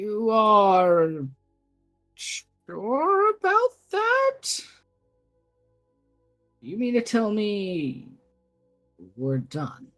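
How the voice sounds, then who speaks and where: In a put-on character voice with a fairly high pitch, the speaker goes at a very slow pace with long, frequent pauses while music plays in the background. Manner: incredulous, questioning.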